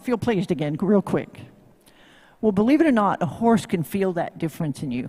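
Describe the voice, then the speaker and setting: The speaker sounds animated at a fairly quick pace, in a very clean recording with a silent background. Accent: Tennessee. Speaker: horsemanship instructor. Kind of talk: live demo talk to audience.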